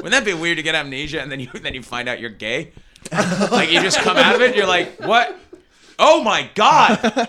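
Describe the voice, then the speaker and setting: A man with a high pitch uses a raised, projected voice and an animated tone at a moderate pace. His pitch swings very widely and his loudness shifts a lot, over noticeable background noise. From Canada (moved from Sheffield at age five). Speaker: stand-up comedian. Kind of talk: casual podcast chat. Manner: animated, joking.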